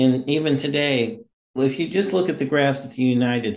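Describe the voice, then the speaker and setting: An ordinary speaking voice from a man, medium-pitched, moderately paced, with ordinary rise and fall in pitch. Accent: American. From Missouri. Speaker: podcast host. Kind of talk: interview.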